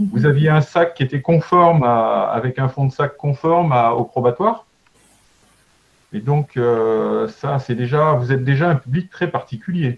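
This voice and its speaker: With a fairly high pitch, a man speaks at a moderate pace. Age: 60s. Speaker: mountain leader trainer. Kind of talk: lecture. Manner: halting; animated.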